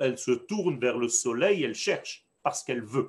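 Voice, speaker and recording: Speaking with a Hebrew accent, a man's voice moves in very wide pitch swings. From Israel. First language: Hebrew (speaking French). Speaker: rabbi teaching Torah class. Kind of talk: lecture. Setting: online class on video call.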